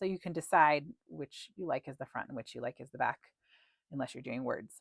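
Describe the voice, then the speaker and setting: A woman's very deep, low voice at a fairly quick pace, with lively intonation, big swings in loudness, and a dry, close sound with no echo. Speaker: crochet instructor and pattern designer. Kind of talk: tutorial. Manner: casual, with filler words.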